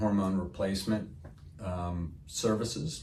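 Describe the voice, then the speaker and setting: A man speaks with an American accent in a fairly low voice. His intonation stays fairly even, and the room echo is audible. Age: 60s. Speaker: medical spa owner. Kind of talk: interview answer. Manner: halting, many fillers.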